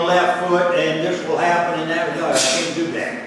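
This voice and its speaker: Against noticeable background noise and strong room echo, a man speaks at a high pitch. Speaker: flight instructor. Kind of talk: lecture on aviation charts and emergency rules. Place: classroom. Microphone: camera far.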